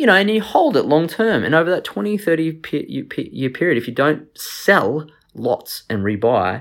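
Very clean recording of a man against a silent background. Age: 30s. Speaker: finance podcast host, former lawyer. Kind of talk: solo podcast monologue. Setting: at home. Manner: animated.

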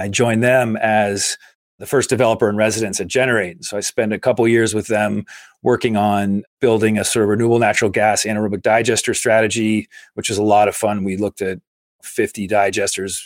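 Speaking fairly quickly with an American accent, a man delivers flat, monotone intonation at a fairly low pitch, the sound dry and close with no echo. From Massachusetts, near Boston. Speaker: climate infrastructure investor. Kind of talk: interview.

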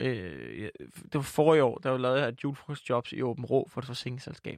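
In a dry, close sound with no echo, a man speaks at a medium pitch with vocal fry. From Jutland, Denmark. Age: 20s. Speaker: comedian and podcaster. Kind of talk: casual interview chat. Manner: rambling, hesitant, filler-heavy.

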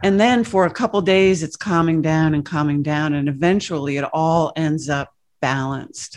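With hardly any pauses, a woman speaks at a moderate pace in a very deep, low pitch with ordinary pitch variation, against a quiet background. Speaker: spiritual teacher guest. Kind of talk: interview conversation.

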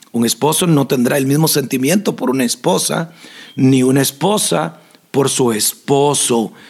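Speaking slowly but with lively intonation, a man uses a plain, everyday voice at a fairly high pitch. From Costa Rica, southern zone. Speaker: pastor and podcast host. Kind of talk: Q&A with spiritual advice.

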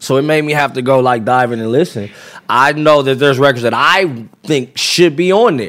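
Here a man with an American accent has an unremarkable speaking voice at a fairly high pitch. He keeps a moderate pace with ordinary pitch variation. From California, Los Angeles area (Compton). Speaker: rapper. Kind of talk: casual chat. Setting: studio.

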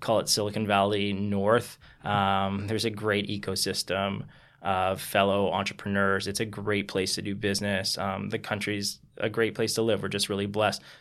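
A man with a Canadian accent, fairly low pitch and monotone, flat intonation at a moderate pace, on a very clean recording with a silent background. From Toronto, Canada. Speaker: company founder. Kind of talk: interview.

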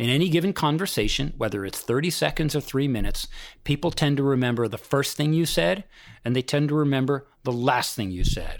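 A plain, everyday voice: a man with a fairly high pitch at a fairly quick pace, in a very clean recording with a silent background. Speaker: executive coach. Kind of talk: interview. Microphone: poor sound quality.

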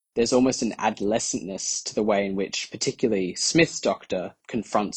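Here a man with an Australian accent speaks at a fairly low pitch with ordinary pitch variation. His pace is fairly quick, with hardly any pauses. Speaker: fan submitting a response. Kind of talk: recorded listener response.

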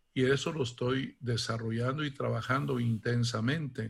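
In a very clean recording with a silent background, a man with an unremarkable speaking voice talks at medium pitch, a fairly slow pace and fairly even intonation. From Mexico, Guanajuato. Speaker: archbishop. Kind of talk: interview.

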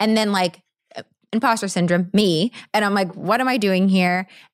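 A woman's medium-pitched voice with an American accent, an ordinary speaking voice at a fairly quick pace, on a very clean recording with a silent background. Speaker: actress and model. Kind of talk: casual interview chat.

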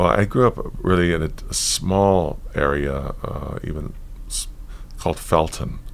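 Against noticeable background noise, the man's speech moves fairly slowly. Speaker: yoga teacher and author. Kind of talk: interview conversation.

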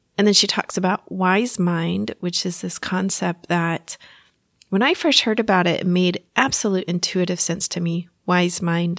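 A woman with an American accent speaks at a fairly slow pace in a medium pitch, her tone warm with ordinary pitch variation. The sound is dry and close, without echo. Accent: Texas accent, slight, comes out at times. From Texas. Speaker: therapist and hypnotist podcast host. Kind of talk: solo educational podcast talk. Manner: warm, laughs often.

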